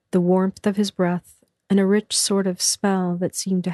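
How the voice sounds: Quiet background behind a natural reading voice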